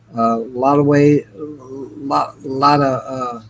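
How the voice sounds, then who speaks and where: Flat, monotone delivery against clearly audible background noise. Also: man. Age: 40s. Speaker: guest on a stream. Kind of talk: testimony.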